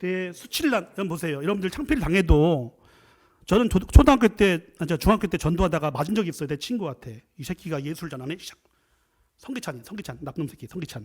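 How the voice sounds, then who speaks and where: Speaking very fast at a high pitch, a man sounds animated, his intonation lively. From South Korea, Chungcheong. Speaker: professor and guest preacher. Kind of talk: sermon.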